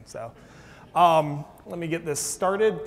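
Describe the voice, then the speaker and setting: The recording is very clean, with a silent background. The voice shows ordinary pitch variation. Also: man. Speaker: physics and astronomy professor. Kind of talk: public science lecture. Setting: lecture hall with audience and microphone. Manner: loud.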